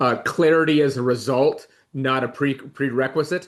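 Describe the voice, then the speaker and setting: A man's fairly high voice with fairly even intonation. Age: 40s. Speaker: podcast host. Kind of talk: casual chat.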